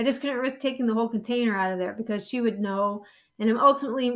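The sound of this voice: The clip carries an unforced reading voice.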